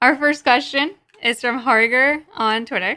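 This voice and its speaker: Bright and sharp in tone, a woman's high-pitched voice shows ordinary pitch variation. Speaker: gaming podcast co-host. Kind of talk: casual chat. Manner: laughs often.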